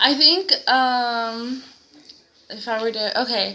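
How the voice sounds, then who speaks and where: Fairly high-pitched woman, fairly even intonation, noticeable background noise. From US, came from Mexico at four. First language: Spanish. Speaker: student teacher. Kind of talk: interview.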